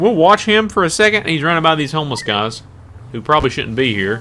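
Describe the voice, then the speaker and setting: A man with a Southern US accent, talking at a very fast pace with lively intonation. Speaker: gaming YouTuber. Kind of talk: gameplay commentary. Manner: casual, conversational.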